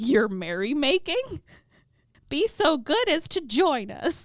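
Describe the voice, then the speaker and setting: Using a put-on character voice, a woman speaks at a high pitch and a fairly slow pace. Her pitch swings very widely. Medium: read story.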